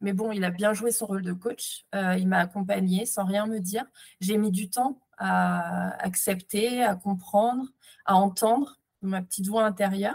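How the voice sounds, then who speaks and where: A somewhat breathy woman at a fairly slow pace, fairly even intonation. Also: medium pitch for a woman. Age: 30s. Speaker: entrepreneur. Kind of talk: interview testimony. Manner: halting, many fillers.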